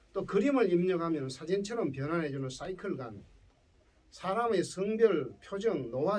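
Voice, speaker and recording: In a Gyeongsang accent, a man talks at a moderate pace in a high pitch with very wide pitch swings. Room echo is audible. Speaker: professor. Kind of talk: lecture.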